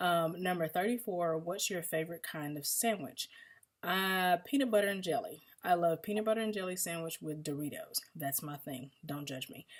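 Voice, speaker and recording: A woman with a slight Southern US accent talks at a moderate pace, fairly low in pitch with ordinary pitch variation. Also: very clean recording, silent background. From US South, Mississippi. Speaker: vlogger. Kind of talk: casual Q&A monologue. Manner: casual, many fillers.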